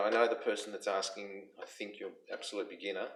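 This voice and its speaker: Very fast speech from a man, noticeable background noise behind it. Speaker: music teacher. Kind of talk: tutorial. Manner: halting.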